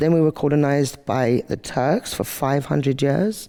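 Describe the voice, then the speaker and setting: In a very clean recording with a silent background, a man with an English accent speaks at a fairly high pitch in a dark, mellow tone. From Albania, outskirts of Tirana. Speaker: activist speaker. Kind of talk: monologue talk to camera.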